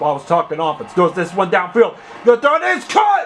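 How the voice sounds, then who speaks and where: Noticeable background noise sits behind a man whose pitch is high. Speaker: aspiring sports announcer. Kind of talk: American football play-by-play commentary.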